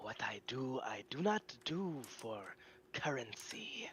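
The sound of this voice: A put-on character voice, whispered at a very slow pace.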